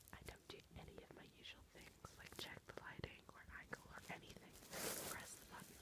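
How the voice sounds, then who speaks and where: The speech is whispered at a moderate pace. Noticeable noise sits in the background. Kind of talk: read story. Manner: soft-spoken.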